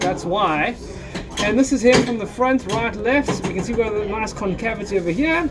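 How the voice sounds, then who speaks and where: A man with a high voice and ordinary pitch variation talks at a moderate pace while noticeable background noise carries on. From South Africa. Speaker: chiropractor. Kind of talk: narrating a chiropractic adjustment on camera. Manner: casual, friendly.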